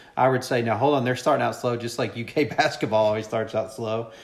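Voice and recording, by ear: A man with a Kentucky accent talks fast at a medium pitch, his intonation fairly even. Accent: Kentucky Southern American.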